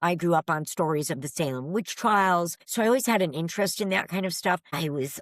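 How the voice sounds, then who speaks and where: With a New England accent, a woman with a fairly low pitch speaks at a fairly quick pace, hardly pausing. Her intonation is lively, and the recording is very clean with a silent background. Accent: New England American. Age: 60s. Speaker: paranormal investigator. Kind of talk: casual chat.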